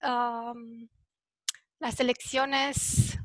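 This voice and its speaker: Over a quiet background, a woman with a non-native accent speaks at a high pitch. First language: not Spanish (speaking Spanish). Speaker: panelist on elections. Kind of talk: presentation at a round table. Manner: halting, many fillers.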